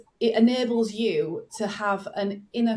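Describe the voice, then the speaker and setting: This is a woman speaking. She has a northern English accent. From northern England. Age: 40s. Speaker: business coach. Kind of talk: podcast interview. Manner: animated.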